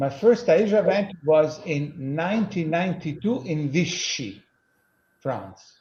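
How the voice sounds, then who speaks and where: Talking at a fairly slow pace with lively intonation, a man with an Italian accent has a high pitch and a dark, mellow tone. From Italy. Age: 60s. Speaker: lawyer. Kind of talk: interview answers.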